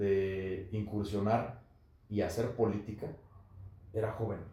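Slowly, very slowly, a man talks amid noticeable background noise and audible room echo. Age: 30s. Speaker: politician. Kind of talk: podcast interview.

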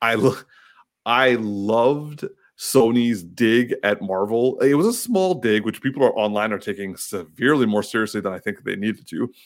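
On a very clean recording with a silent background, an ordinary speaking voice with ordinary pitch variation proceeds at a moderate pace. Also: man, medium pitch for a man. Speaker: podcast host.

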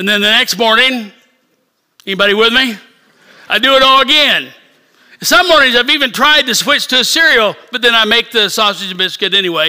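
With an American accent and an extremely high pitch, a man speaks in a raised, projected voice, leaving long, frequent pauses. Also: ordinary pitch variation. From rural Missouri. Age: 60s. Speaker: bishop. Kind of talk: sermon. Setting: church service.

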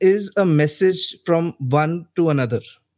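In an Indian accent, a man talks at a very slow pace and a high pitch with ordinary pitch variation. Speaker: caller. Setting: phone call.

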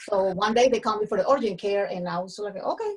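Somewhat breathy and in a Colombian accent, the voice moves at a very fast pace with ordinary pitch variation. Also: woman. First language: Spanish. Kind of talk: casual interview chat. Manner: animated, energetic.

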